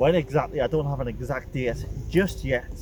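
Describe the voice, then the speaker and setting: Background noise is noticeable in this clip. A man talks at a moderate pace with a strong North East England accent. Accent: thick North East England. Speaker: musician in a band. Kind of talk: casual talk to camera, local history commentary. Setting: outdoors. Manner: casual, hesitant.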